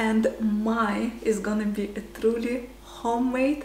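A woman with a Russian accent and a fairly high pitch, with audible room echo and light background noise. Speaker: vlogger; lifestyle vlogger. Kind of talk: casual vlog. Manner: hesitant, many fillers. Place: kitchen.

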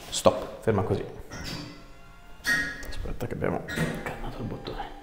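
Music plays in the background as a man speaks at a fairly quick pace. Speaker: osteopath. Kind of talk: instructions to a patient during an osteopathic treatment. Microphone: lapel.

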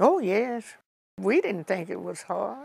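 A woman talks with vocal fry in a dry recording that has no echo. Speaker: interviewee. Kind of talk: interview answer. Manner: frail, aged elderly woman's voice. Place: home room. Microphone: lapel.

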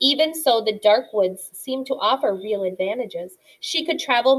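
The reader delivers the text in a natural voice, and the intonation is lively.

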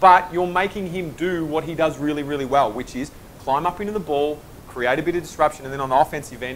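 A man talks fast in a fairly high voice. His tone is fairly bright, with ordinary pitch variation.

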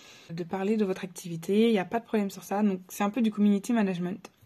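At a moderate pace, a woman speaks in a monotone, flat way with a medium pitch and a dark, mellow tone. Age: 20s. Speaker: photographer and videographer. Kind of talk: self-introduction to camera. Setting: face cam video. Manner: hesitant with many fillers. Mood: friendly, slightly nervous. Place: home room. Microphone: phone near.

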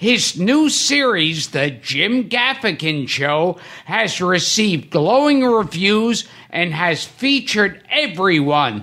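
A man's raised, projected voice, bright and sharp, with very wide pitch swings at a very slow pace against a quiet background. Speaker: podcast host. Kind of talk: podcast guest introduction.

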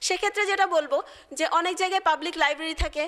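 A woman speaks with an extremely high pitch and a bright, sharp tone. Her voice is raised and projected, with ordinary pitch variation. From Bangladesh, Faridpur; Bangladesh. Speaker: civil servant, diplomat; speaker. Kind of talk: motivational speech. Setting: seminar hall with audience. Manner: formal. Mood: earnest, emotional. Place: hall. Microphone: podium.

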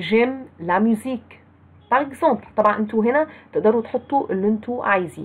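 A woman talks at a fairly quick pace with an Egyptian accent. Her loudness stays very even, and her pitch varies in an ordinary way. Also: fairly high pitch for a woman. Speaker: French teacher. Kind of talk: lecture.

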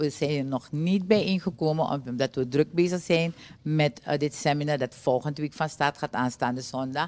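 Her pitch is very deep and low for a woman. She keeps a moderate pace with ordinary pitch variation. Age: 60s. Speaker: trade union leader; guest. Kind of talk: TV interview. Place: studio. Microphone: studio mic.

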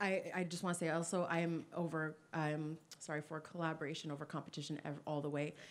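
With a very deep, low pitch, a woman speaks at a fairly quick pace in a monotone, flat intonation. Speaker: audience member, campaign founder. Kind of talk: audience question. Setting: stage with audience.

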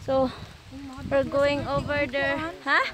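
Despite noticeable background noise, the sound is dry with no echo as a woman speaks at a high pitch and a very slow pace. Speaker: vlogger. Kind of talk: casual vlog chat. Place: forest. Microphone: phone near.

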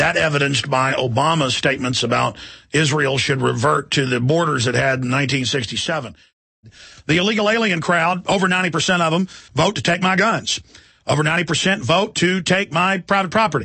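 Speaking in a plain, everyday voice with an American accent, a man keeps a fairly high pitch and very even loudness. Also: lively intonation. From Texas. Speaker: radio host. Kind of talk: political rant. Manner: loud, ranting.

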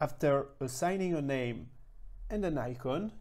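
The tone is slightly mellow, with lively intonation. The pace is fairly slow.

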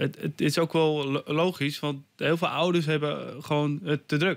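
Very slow pace over a quiet background. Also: man. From Netherlands, Almere; Netherlands. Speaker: martial arts trainer and author; interview guest, martial arts teacher. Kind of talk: radio interview. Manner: halting, many repetitions and fillers. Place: studio. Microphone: studio mic.

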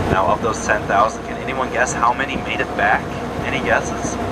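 A man speaks fairly quickly while loud background noise surrounds him. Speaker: tour guide. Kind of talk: tour guide commentary. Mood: joking, playful. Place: boat.

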